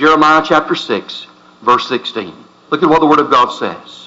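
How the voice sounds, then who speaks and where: A man speaks in a fairly high voice. His pitch varies in an ordinary way. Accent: Southern US. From US South. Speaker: pastor. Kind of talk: sermon. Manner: impassioned.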